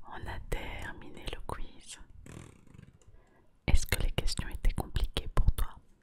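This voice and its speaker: Someone whispers over noticeable background noise. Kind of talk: ASMR whisper quiz addressed to the viewer. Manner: whispered, soft, relaxing.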